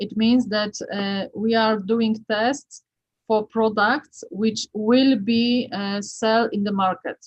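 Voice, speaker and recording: A somewhat breathy voice with fairly even intonation. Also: woman. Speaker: acoustics researcher. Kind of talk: Q&A after lecture. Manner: halting.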